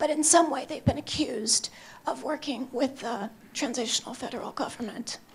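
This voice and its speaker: With ordinary pitch variation, a woman of high pitch speaks at a fairly quick pace. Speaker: human rights advocate, panelist. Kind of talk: panel talk. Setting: conference stage with audience.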